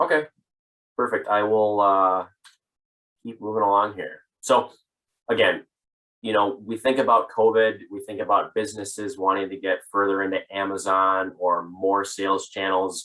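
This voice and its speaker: A man with a fairly low pitch speaks with long, frequent pauses. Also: fairly even intonation. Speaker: sales manager presenting a business webinar. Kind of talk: webinar presentation. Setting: online webinar. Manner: fast.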